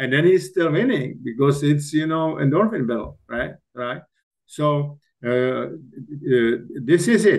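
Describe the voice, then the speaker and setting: With lively intonation, a man speaks in a Czech accent. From Czech Republic. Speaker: executive coach and author. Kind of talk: podcast interview. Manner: halting.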